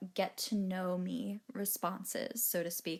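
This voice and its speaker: A woman speaks in an American accent at a fairly slow pace. She has an ordinary speaking voice. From Maryland. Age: 20s. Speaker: podcast host. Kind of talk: podcast monologue. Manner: casual, chatty.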